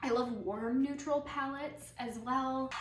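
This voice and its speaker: A woman speaks at a fairly slow pace with fairly even intonation. Noticeable background noise and an audible room echo fill the recording. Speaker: interior designer and vlogger. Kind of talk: casual vlog Q&A.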